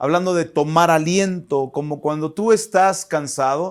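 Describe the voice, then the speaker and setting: Fairly slow and fairly even in intonation, a man talks at a high pitch. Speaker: pastor. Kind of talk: sermon. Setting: online church service.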